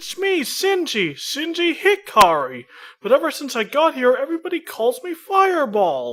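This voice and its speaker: A high, put-on character voice at a moderate pace. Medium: fan dub. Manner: confused, earnest.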